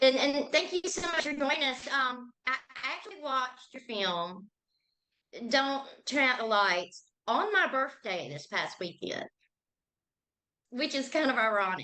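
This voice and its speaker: A woman with a Southern US accent and a high, bright, sharp voice speaks in a raised, projected voice at a fairly slow pace, with very wide pitch swings, big swings in loudness and long, frequent pauses. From Georgia. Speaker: interviewer. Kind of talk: interview.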